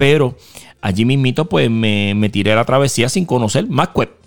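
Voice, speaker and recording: With lively intonation, a man speaks in a Puerto Rican accent. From western Puerto Rico, Mayagüez. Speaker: pastor. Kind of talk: testimony.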